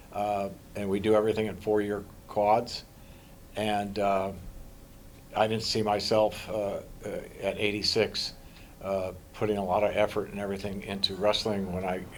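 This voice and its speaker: At a moderate pace, a man with a fairly low pitch talks in a flat monotone, leaving long, frequent pauses. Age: 80s+. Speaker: wrestling club founder and director. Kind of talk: press interview. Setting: media scrum after a match. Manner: halting, many fillers and repetitions.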